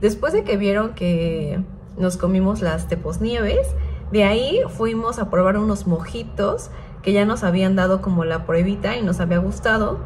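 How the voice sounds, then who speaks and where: Over light background noise, a woman speaks at a fairly slow pace with very even loudness. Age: 30s. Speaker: vlogger. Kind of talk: casual vlog narration; casual vlog chat. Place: home room. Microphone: phone near.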